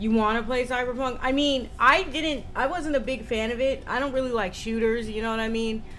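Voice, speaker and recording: A woman talks at a fairly quick pace with an American accent, her voice pitched high. Her pitch varies in an ordinary way, and the room echo is audible. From United States. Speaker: streamer. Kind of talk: casual chat. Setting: livestream. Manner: fast.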